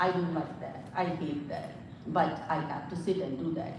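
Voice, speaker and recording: A woman with a Pakistani Punjabi accent speaks at a moderate pace, her fairly low pitch showing ordinary pitch variation. Noticeable background noise and audible room echo are present. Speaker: psychologist. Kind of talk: live talk. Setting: livestream.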